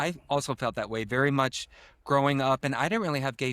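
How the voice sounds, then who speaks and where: On a very clean recording with a silent background, a man with an unremarkable speaking voice talks at a medium pitch and fairly even intonation, the sound dry and close with no echo. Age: 40s. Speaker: podcast host. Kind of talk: podcast interview.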